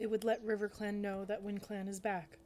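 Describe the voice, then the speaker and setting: In a put-on character voice, a woman talks at a fairly quick pace with a medium pitch and flat, monotone intonation over clear background noise. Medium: read story. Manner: stern, measured.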